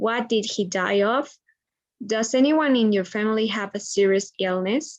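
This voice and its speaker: A woman speaks in a Spanish accent at a fairly high pitch. Her pace is moderate. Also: ordinary pitch variation. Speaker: medical student. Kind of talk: reading aloud. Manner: halting.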